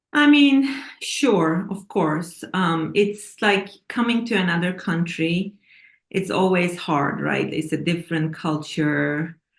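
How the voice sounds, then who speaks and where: Speaking very slowly with a Turkish accent, a woman uses lively intonation at a fairly low pitch. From Turkey. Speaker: author and scientist. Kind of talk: interview. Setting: TV interview.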